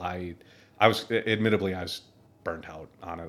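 With an Upper Midwest accent, a man speaks at a moderate pace in a very deep, low pitch and monotone, flat intonation on a very clean recording with a silent background. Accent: Upper Midwest American. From US Midwest, Minneapolis, Minnesota. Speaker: army veteran, engineering grad student. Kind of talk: casual interview.

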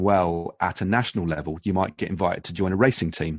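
Against a quiet background, a man with a very deep, low pitch talks at a moderate pace with ordinary pitch variation, in a dry, close sound with no echo. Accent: British. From UK. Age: 50s. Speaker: former professional cyclist. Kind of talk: interview. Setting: home podcast studio. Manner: halting, many fillers and repetitions.

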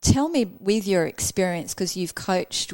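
A woman speaks at a medium pitch in a plain, everyday voice. Her pace is moderate. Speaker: podcast host and coach. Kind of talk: casual interview chat. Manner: warm, upbeat.

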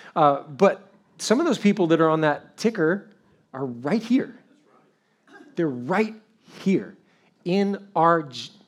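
Speaking very slowly with long, frequent pauses, a man uses a high pitch and lively intonation. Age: 50s. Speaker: pastor. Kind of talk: sermon.

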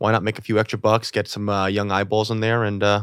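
A man with a New York accent at a very fast pace. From New York City. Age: 20s. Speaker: comedy show producer. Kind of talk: casual chat.

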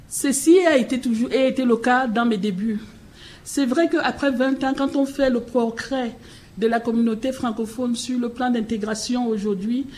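A woman speaks in a high voice at a fairly slow pace. Audible room echo and noticeable background noise surround her. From Cameroon. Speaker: keynote speaker, head of an immigrant integration nonprofit. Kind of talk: conference speech and panel discussion. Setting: public forum at city hall, broadcast live on radio.

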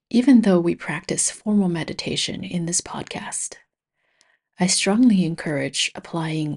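An unremarkable speaking voice from a woman, fairly low in pitch with ordinary variation, against a quiet background. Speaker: meditation teacher. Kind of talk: guided meditation. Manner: soft-spoken; slow.

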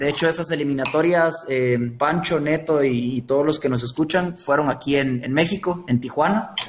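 Over noticeable background noise, a man speaks at a moderate pace with very even loudness, hardly any pauses and ordinary pitch variation. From Guatemala, Guatemala City. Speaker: former youth international footballer. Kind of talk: interview.

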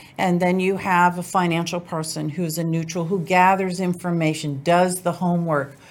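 A woman with an American accent speaks in a normal speaking voice at a fairly low pitch. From US South, New Orleans. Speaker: divorce lawyer. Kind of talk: interview.

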